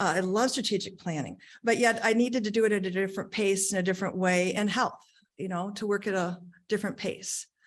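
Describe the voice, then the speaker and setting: A woman's normal speaking voice at medium pitch, fairly quick, with ordinary pitch variation over a quiet background. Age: 60s. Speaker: job candidate, retired accountant. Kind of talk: job interview. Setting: township board meeting.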